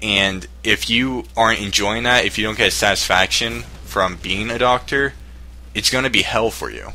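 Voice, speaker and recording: A man's fairly low voice with vocal fry and very wide pitch swings, at a moderate pace. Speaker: YouTuber. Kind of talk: response video advice monologue. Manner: halting; casual.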